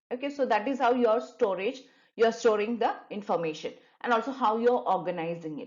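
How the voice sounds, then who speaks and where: Very fast and fairly high, a woman's voice moves with lively intonation. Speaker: online tutor. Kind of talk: tutorial.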